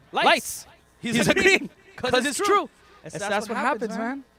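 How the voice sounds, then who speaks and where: Over noticeable background noise, a man with extremely high pitch speaks in a raised, projected voice, animated in tone and at a fairly quick pace. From Dubai, of Pakistani family. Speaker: stand-up comedian. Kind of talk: stand-up. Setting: drive-in show with audience in cars.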